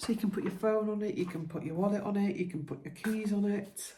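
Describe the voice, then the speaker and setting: Soft-spoken, a woman talks at a medium pitch with ordinary pitch variation, with noticeable background noise and audible room echo. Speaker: lifestyle vlogger. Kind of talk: casual vlog chat.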